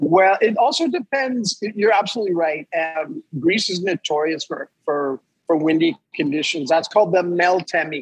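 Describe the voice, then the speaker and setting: A man speaks at a high pitch with lively intonation in a Montreal accent. The sound is dry and close with no echo. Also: moderate pace. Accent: Montreal anglophone Canadian. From Canada, Montreal (English-speaking area). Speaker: yacht captain. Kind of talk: casual interview. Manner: hesitant, repeats words.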